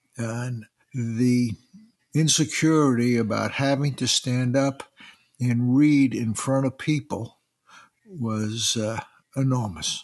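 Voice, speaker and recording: A very slow, fairly evenly intoned delivery in an American accent, with long, frequent pauses. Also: man, medium pitch for a man. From US Northeast, New York City. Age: 80s+. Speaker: retired father sharing dyslexia story. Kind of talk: personal interview.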